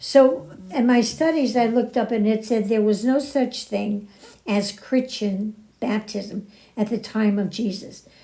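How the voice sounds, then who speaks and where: A woman speaks at a fairly slow pace in a fairly high, dark, mellow voice. It is somewhat breathy, with ordinary pitch variation. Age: 90s. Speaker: podcast host. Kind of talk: spiritual talk.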